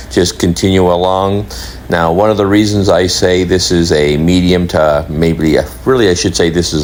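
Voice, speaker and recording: Noticeable background noise runs under a man's very deep, low voice. He speaks at a moderate pace with ordinary pitch variation. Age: 60s. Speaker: travel vlogger. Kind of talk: vlog voiceover narration. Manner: hesitant with frequent uhs.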